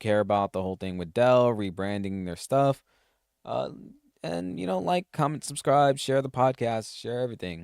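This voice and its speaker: With lively intonation and a moderate pace, the voice has a dry, close sound with no echo. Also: man, fairly low pitch for a man. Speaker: solo tech podcast host. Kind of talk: casual solo podcast talk. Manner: halting, frequent restarts and fillers.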